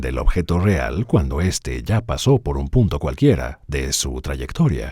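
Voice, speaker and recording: A man with a very deep, low pitch and vocal fry, dark and mellow in tone, lively in intonation, at a fairly slow pace. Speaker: voice actor. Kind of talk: dubbed first-person science lecture.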